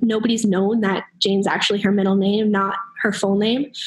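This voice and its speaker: Noticeable background noise and audible room echo surround a woman's fairly high voice. She talks at a moderate pace with fairly even intonation. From US Northeast (New Hampshire). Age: young. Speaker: college student. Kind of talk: interview. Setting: remote call from dorm lounge.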